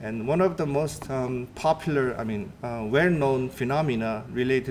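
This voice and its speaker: This is an ordinary speaking voice from a man. His pitch sits in the medium range with ordinary pitch variation. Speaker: atmospheric scientist. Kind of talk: lecture.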